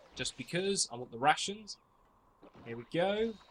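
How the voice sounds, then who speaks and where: His intonation is lively as the man speaks. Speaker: gaming video creator. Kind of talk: gameplay commentary. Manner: fast; casual, rambling with self-corrections.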